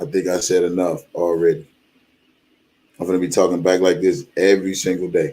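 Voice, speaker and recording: The voice has a dark, mellow, calm tone and fairly even intonation. It moves at a fairly quick pace with long, frequent pauses. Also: man, very deep, low pitch for a man. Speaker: YouTube commentator. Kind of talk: livestream commentary. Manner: calm, measured tone.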